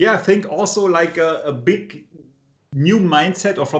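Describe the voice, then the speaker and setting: A man with a non-native accent talks at a moderate pace, his pitch varying in an ordinary way. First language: not English. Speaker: tech podcast co-host. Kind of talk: casual technical discussion.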